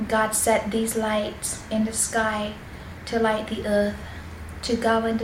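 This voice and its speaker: Over noticeable background noise, a woman talks at a fairly slow pace with a fairly high pitch. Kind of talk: Bible reading for relaxation and sleep. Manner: soft-spoken, whispered.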